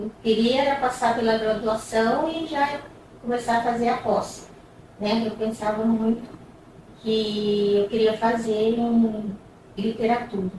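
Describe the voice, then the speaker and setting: A woman speaks very slowly in a fairly high voice, with fairly even intonation and long, frequent pauses. The room echoes audibly, and background noise is noticeable. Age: 60s. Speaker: university academic. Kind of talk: documentary interview.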